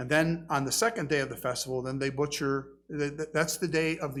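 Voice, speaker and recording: Using an ordinary speaking voice, a man talks at a fairly quick pace with fairly high pitch and fairly even intonation. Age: 60s. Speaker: pastor. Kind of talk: sermon.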